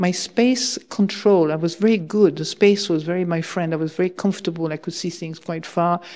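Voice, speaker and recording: In a French accent, a woman speaks with a dark, mellow tone and hardly any pauses over a quiet background. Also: fairly low pitch for a woman, ordinary pitch variation, moderate pace. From France. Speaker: Buddhist nun and teacher. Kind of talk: dharma talk. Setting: monastery hall with audience.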